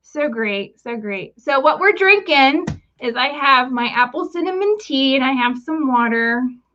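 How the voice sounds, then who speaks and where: A woman with an American accent, raised and projected, high-pitched and bright, sharp in tone, with lively intonation at a fairly slow pace. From West Virginia. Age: 40s. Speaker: vlogger. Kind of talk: casual chat. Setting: livestream.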